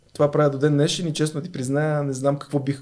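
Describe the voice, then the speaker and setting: A man's fairly high, dark, mellow voice. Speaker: sports journalist. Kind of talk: interview.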